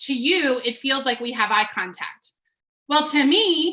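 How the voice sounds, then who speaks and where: Raising and projecting her high-pitched voice, a woman speaks at a fairly slow pace in a bright, sharp tone. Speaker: business coach. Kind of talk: webinar presentation. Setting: video call.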